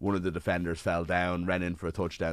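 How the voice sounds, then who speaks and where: This man has a very deep, low pitch and an Irish accent. The background is quiet. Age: 30s. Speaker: sports journalist. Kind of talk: casual chat.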